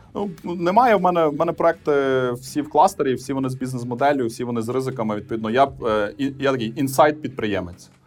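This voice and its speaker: A man speaks at a medium pitch and a fairly quick pace. He leaves hardly any pauses, and his pitch varies in an ordinary way. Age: 30s. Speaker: IT cluster executive. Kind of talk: interview. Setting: remote call. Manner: calm.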